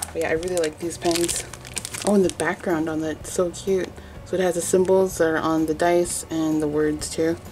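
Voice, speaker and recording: Over music in the background, a woman with a fairly low pitch speaks at a moderate pace in a monotone, flat intonation. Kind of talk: casual talk to camera. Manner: rambly, trailing off; quiet, held back.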